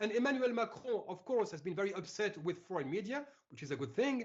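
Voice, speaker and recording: Using lively intonation, a man talks at a fairly quick pace in a high pitch. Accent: French. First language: French. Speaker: civil rights activist. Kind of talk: interview. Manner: animated.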